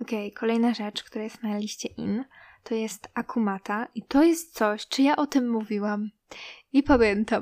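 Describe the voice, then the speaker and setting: A woman with a normal speaking voice, fairly high in pitch with ordinary variation, at a moderate pace, with big swings in loudness and a dry, close sound with no echo. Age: 20s. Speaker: podcast host. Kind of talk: casual chat.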